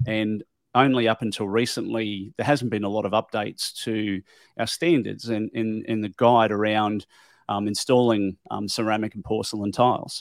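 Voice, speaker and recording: In an Australian accent, a man speaks at a moderate pace with a fairly low pitch and fairly even intonation, recorded very cleanly against a silent background with a dry, close sound and no echo. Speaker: tile industry professional and podcaster. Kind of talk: casual interview. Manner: hesitant, many fillers.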